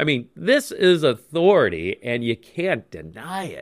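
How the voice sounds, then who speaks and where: Vocal fry marks this man's speech, and his pitch swings very widely. Behind him the background is silent in a very clean recording. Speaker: pastor. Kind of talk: casual chat.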